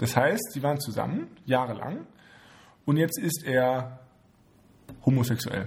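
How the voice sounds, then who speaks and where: The speech moves at a fairly slow pace, with lively intonation broken by long, frequent pauses. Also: man, medium pitch for a man. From Heidelberg/Mannheim area, Germany. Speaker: podcast co-host. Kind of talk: casual chat. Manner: laughs a lot.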